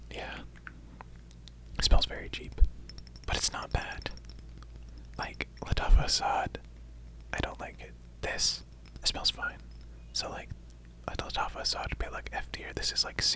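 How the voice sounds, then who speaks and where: Whispering at a moderate pace with long, frequent pauses, the voice comes through over noticeable background noise. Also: man. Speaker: ASMR creator. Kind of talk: casual talk to camera, personal attention ASMR. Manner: whispered, soft-spoken.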